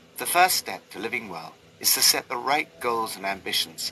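A man at a fairly slow pace, very wide pitch swings, noticeable background noise behind him. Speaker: Bible study narrator. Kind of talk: scripted devotional reading with prayers.

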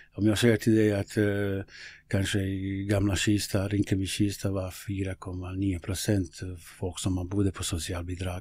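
A man with a Bosnian accent speaks at a fairly low pitch in a somewhat breathy voice, his intonation monotone and flat. The recording is very clean, with a silent background. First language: Bosnian (speaking Swedish). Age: 50s. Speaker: local politician and football coach. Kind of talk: interview conversation. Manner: halting.

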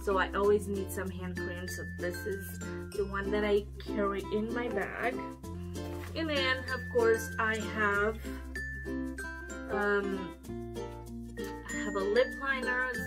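A woman at a very slow pace, long, frequent pauses, clear music in the background. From Romania. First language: Romanian. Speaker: beauty vlogger. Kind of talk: casual talk to camera. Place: home room. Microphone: camera far.

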